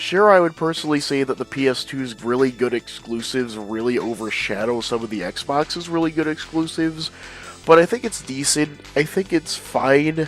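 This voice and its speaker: Background music plays behind the speaker. A man talks with lively intonation. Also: fairly high pitch for a man, moderate pace. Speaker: gaming video creator. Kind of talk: casual gaming commentary.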